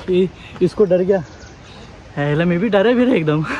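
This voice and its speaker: There is noticeable background noise behind a man whose pitch varies in an ordinary way. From Maharashtra (Khopoli). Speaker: travel vlogger. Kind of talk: vlog narration while trekking. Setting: outdoors on a monsoon trek. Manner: animated.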